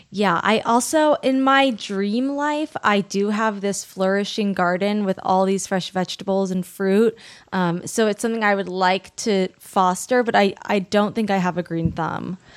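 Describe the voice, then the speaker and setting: A woman talks at a fairly slow pace with hardly any pauses, in an unremarkable speaking voice. Her pitch is medium, with ordinary pitch variation. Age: 30s. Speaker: writer and actor. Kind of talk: casual chat.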